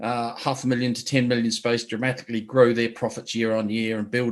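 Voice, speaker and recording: In a New Zealand accent, a man speaks at a moderate pace in a medium pitch with monotone, flat intonation. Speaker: business coach. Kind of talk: webinar presentation. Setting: online webinar. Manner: hesitant with fillers.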